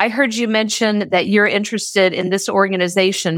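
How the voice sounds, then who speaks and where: The speaker has a Midwestern American accent and talks at a fairly quick pace with fairly even intonation. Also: woman. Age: 50s. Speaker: business leader. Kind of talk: interview.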